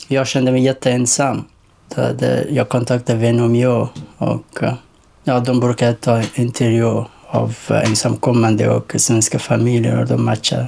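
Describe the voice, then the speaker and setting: A man talks at a fairly slow pace and a very even loudness over noticeable background noise. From rural Afghanistan. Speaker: young refugee. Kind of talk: documentary interview. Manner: halting, many hesitations.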